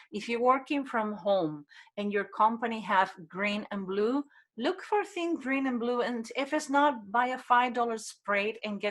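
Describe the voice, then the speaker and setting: A woman with a non-native accent, fairly high pitch, moderate pace and lively intonation. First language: Spanish. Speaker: human behavior expert. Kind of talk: interview.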